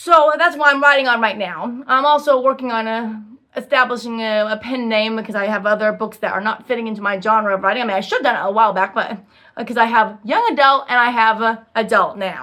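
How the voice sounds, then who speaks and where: Her bright, sharp tone comes at a very fast pace, as this woman speaks at a fairly high pitch with ordinary pitch variation. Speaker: self-published author. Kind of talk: casual vlog chat. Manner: halting, many fillers.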